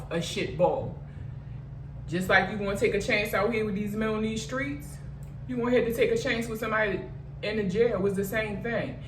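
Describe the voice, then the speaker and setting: A woman's medium-pitched voice with an American accent at a fairly quick pace, audible room echo and noticeable background noise. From Baltimore, Maryland. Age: 40s. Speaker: vlogger sharing personal story. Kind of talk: storytime monologue. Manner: casual, conversational.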